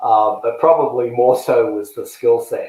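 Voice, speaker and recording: A man talks at a fairly slow pace. He has a slight Australian accent. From Australia, Melbourne. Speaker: tennis coach and search consultant. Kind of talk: interview. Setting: podcast.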